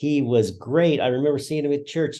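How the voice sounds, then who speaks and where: A man's fairly high voice with an American accent, a dark, mellow tone, ordinary pitch variation, and a moderate pace. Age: 60s. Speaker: retired school principal. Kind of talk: interview testimony. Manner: halting, many fillers.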